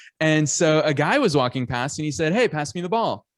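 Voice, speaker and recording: On a very clean recording with a silent background, a man talks at a fairly quick pace with lively intonation. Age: 30s. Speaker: business coach. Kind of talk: podcast interview. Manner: animated.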